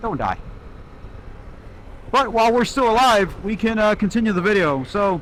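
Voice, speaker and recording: A loud man's voice, high in pitch with ordinary variation, at a moderate pace with long, frequent pauses. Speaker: motovlogger. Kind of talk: casual vlog narration while riding. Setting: on a motorcycle, in helmet.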